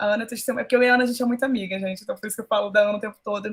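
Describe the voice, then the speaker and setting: Her speech is somewhat breathy. The woman's delivery is very fast. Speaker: school teacher. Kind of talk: online class talk. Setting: video call. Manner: animated.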